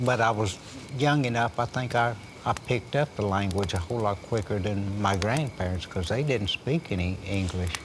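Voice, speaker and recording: The voice moves at a moderate pace with ordinary pitch variation, over noticeable background noise. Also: man, fairly low pitch for a man. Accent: Oklahoma. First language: Chickasaw. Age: old. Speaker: Chickasaw elder. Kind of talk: oral history storytelling.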